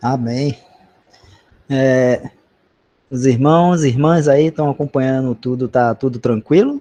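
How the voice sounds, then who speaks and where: At a very slow pace, a man speaks at a medium pitch in a dark, mellow tone with fairly even intonation and long, frequent pauses. The sound is dry and close, with no echo. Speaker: bible study leader. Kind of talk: bible study discussion.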